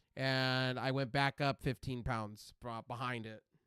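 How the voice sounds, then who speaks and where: On a very clean recording with a silent background and a dry, close sound with no echo, a man speaks at a very slow pace in an American accent with a medium-pitched voice. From California desert. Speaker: game streamer. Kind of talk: casual live stream chat. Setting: live stream. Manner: animated; loud.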